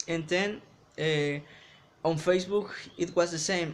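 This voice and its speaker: This man speaks very slowly with a Mexican accent. His intonation stays fairly even. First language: Spanish. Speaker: English learner vlogger. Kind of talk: casual vlog talk to camera. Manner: halting, many restarts.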